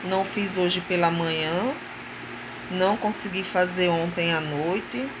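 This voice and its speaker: Soft-spoken and very slow, with fairly even intonation, the voice comes through noticeable background noise and audible room echo. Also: woman. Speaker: vlogger. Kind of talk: casual chat.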